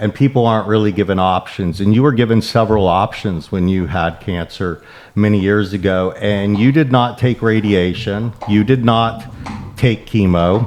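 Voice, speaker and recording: Against noticeable background noise, a man with a fairly low voice speaks at a moderate pace with ordinary pitch variation. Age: 50s. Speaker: podcast host. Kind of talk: podcast interview.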